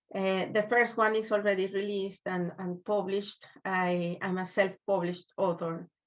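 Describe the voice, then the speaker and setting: The speaker has a Spanish accent and monotone, flat intonation. The background is quiet. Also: woman. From Venezuela, Maracaibo. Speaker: children's book author. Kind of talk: interview. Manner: halting.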